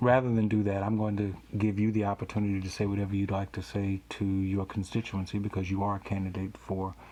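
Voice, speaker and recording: A man with an American accent, fairly low-pitched, very fast and with hardly any pauses, in monotone, flat intonation. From US South, Louisiana (Baton Rouge). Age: 50s. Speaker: pastor and podcast host. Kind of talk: interview podcast.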